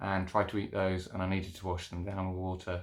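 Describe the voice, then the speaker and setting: A man with a British accent, very deep and low in pitch, with fairly even intonation at a moderate pace. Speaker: cancer patient vlogger. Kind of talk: casual video diary. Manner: halting, many fillers.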